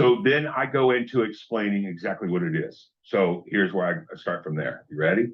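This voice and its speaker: An unremarkable speaking voice from a man, fairly low in pitch, at a moderate pace with lively intonation and hardly any pauses. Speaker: sales trainer. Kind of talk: training session. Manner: casual.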